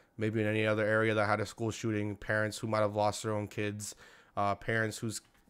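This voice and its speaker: This man's voice sits fairly low in pitch. He moves at a fairly quick pace with monotone, flat intonation. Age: young. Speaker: sports YouTuber; sports channel host. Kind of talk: personal vlog monologue. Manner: halting. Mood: somber, hurt after school shooting. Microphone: studio mic.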